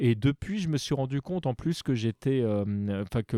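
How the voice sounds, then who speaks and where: A man's dark, mellow tone, dry and close with no echo, on a very clean recording with a silent background. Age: 40s. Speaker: podcaster. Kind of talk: casual chat.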